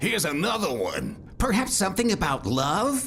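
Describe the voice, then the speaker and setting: With clear background noise behind him, a man does a high-pitched cartoonish character voice. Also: moderate pace. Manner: calm, wry.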